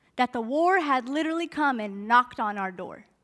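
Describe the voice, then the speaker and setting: A woman's raised, projected voice with a General American accent and very wide pitch swings. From Denver, Colorado. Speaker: spoken word poet and activist. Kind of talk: storytelling talk at a summit. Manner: gracefully delivered.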